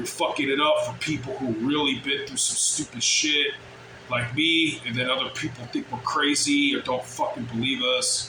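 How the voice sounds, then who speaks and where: Noticeable background noise and audible room echo behind a man at a moderate pace. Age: middle-aged. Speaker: vlogger. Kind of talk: casual monologue.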